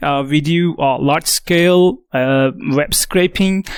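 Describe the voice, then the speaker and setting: This man has a non-native accent. His pitch is fairly high, with ordinary variation. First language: not English. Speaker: tech company executive. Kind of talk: conference talk. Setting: stage with audience. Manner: halting, many fillers.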